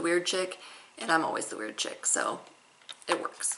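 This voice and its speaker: A woman with a slight northern US accent talks at a medium pitch with fairly even intonation. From US Midwest, Michigan. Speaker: book and movie vlogger. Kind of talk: casual vlog monologue. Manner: casual with frequent fillers (um, uh).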